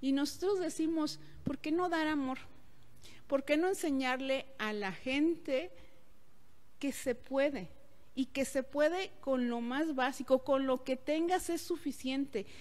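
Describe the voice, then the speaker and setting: Speaking very slowly with long, frequent pauses, a woman uses a high pitch and ordinary pitch variation. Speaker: event promoter or host. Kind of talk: interview answer. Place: home room. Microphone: handheld.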